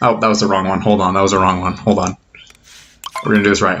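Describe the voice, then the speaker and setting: A man talks quietly at a very fast pace. His fairly low voice has a monotone, flat intonation. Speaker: gaming youtuber. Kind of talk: let's play commentary. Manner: quiet, subdued.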